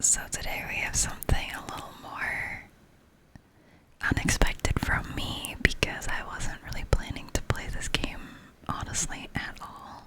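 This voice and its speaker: A woman whispering with big swings in loudness, over noticeable background noise. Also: fairly slow pace. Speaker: ASMR gaming content creator. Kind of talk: casual gaming tour in ASMR style. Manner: whispered, soft-spoken.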